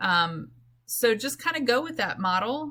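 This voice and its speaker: The woman's voice has a bright, sharp tone. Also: very clean recording, silent background. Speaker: science teacher. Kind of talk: lecture.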